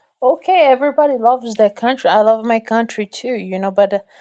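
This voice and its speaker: The voice has a dark, mellow tone and a strong non-native accent, with ordinary pitch variation against a quiet background. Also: woman. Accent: strong foreign. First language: Portuguese. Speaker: livestream guest. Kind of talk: heated debate. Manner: halting.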